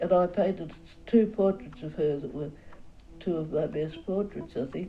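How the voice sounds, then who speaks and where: Music plays behind a woman with an Australian accent and a fairly low pitch. She speaks at a moderate pace with ordinary pitch variation. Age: 80s+. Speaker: portrait painter. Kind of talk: interview answer.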